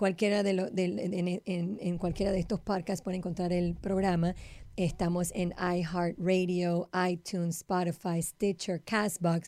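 Recorded very cleanly with a silent background, a woman speaks at a fairly low pitch in a dark, mellow tone. Her intonation is monotone and flat, and her loudness stays very even. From Panama. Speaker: Kabbalah teacher, podcast co-host. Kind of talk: casual chat.

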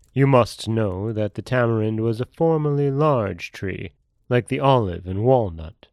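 A man with an ordinary speaking voice, medium pitch, ordinary pitch variation and a fairly slow pace over a quiet background. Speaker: podcast host and storyteller. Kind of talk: folktale narration, read aloud in a solemn storyteller's tone. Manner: plain, steady, unhurried storytelling pace.

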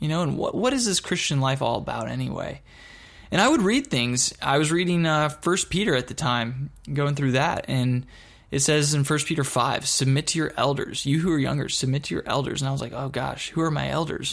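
In a very clean recording with a silent background, a man talks at a fairly quick pace. He has an unremarkable speaking voice, fairly high in pitch, with ordinary pitch variation. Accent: American. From Texas (Dallas-Fort Worth) and Michigan. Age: 30s. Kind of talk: personal testimony. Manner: casual, conversational with fillers.

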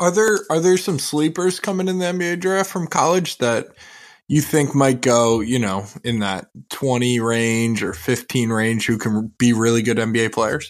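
In an ordinary speaking voice, a man talks at a fairly slow pace with medium pitch and lively intonation, recorded very cleanly against a silent background. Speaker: podcast co-host. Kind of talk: casual chat.

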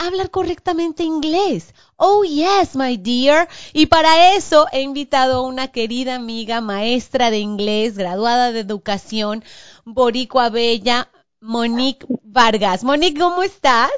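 Pitched high, a woman speaks at a fairly slow pace with very wide pitch swings. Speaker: podcast host. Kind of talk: casual chat.

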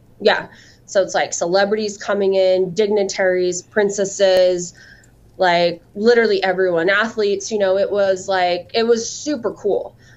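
The speaker has an American accent. Delivery is at a moderate pace with monotone, flat intonation. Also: woman, medium pitch for a woman. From southern Utah. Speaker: salon owner and hair extensions entrepreneur. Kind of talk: interview.

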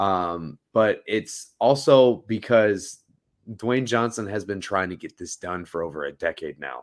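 In a very clean recording with a silent background, a man with a plain, everyday voice speaks at a fairly slow pace with a fairly low pitch, lively intonation, and big swings in loudness. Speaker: podcast co-host. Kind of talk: casual chat.

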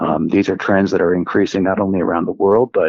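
In an American accent, a man speaks at a fairly low pitch in an ordinary speaking voice with ordinary pitch variation. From US Northeast, central New Jersey. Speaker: genomics scientist. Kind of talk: interview. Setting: remote from home office.

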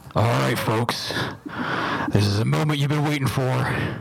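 This man's medium-pitched voice swings very widely in pitch. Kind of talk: boxing ring announcer. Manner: loud, showy.

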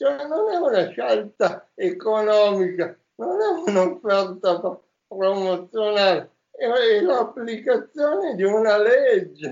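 Speaking at a very slow pace, a man uses a high voice with lively intonation. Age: 50s. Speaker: former entrepreneur and author. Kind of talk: interview.

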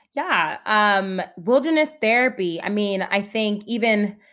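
On a very clean recording with a silent background, a woman with an American accent has an unremarkable speaking voice at medium pitch with ordinary pitch variation. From New Jersey, then upstate New York. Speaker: therapist. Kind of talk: interview conversation.

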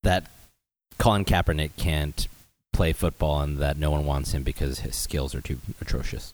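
A man with an American accent and a very deep, low pitch talks at a moderate pace with fairly even intonation. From Los Angeles, US. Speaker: restaurant founder and CEO. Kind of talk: casual podcast chat.

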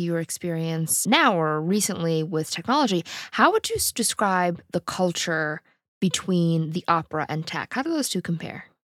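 A woman with a plain, everyday voice, fairly low in pitch, speaking at a moderate pace with ordinary pitch variation. The sound is dry and close, with no echo. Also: very clean recording, silent background. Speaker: podcast host. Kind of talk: interview.

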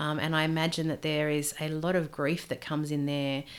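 Speaking in an Australian accent with a very deep, low pitch, a woman talks at a fairly quick pace in a monotone, flat intonation on a very clean recording with a silent background. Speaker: PhD student and former women's minister. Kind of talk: interview.

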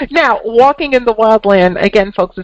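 A woman with an American accent has an ordinary speaking voice and lively intonation. She goes at a moderate pace, and the sound is dry and close with no echo. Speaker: podcast host, intuitive and author. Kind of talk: interview intro and conversation.

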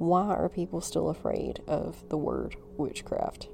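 A woman speaks in a Southern US accent. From US South, North Alabama. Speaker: spiritual podcaster. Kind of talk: casual chat.

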